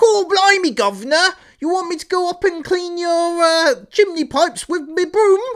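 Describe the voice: In an extremely high pitch, the speaker does a put-on character voice with a Cockney accent. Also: moderate pace.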